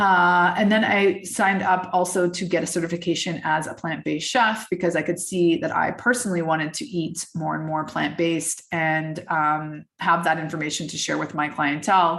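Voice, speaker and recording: Her pitch fairly low, a woman speaks at a moderate pace with hardly any pauses and fairly even intonation. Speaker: wellness and mindset coach. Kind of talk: casual podcast monologue. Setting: video call. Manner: hesitant, many fillers.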